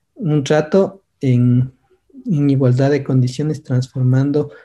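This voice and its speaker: Somewhat breathy, a man speaks at a fairly slow pace in a dark, mellow tone with fairly even intonation. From Ecuador. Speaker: workshop lecturer. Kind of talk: online seminar lecture.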